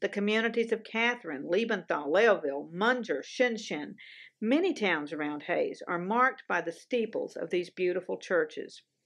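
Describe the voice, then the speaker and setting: The background is quiet. A woman with a Southern US accent speaks at medium pitch. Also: lively intonation, moderate pace. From US South. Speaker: TV show co-host. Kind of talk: casual chat; scripted narration.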